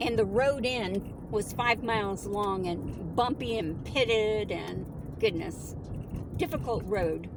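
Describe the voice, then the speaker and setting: Amid noticeable background noise and audible room echo, a woman at medium pitch speaks very slowly with ordinary pitch variation. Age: 60s. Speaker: nomad travel vlogger. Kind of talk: casual vlog talk.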